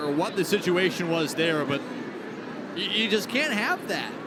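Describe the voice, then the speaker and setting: Noticeable background noise under a man's raised, projected voice. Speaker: baseball color commentator. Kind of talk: sports color commentary.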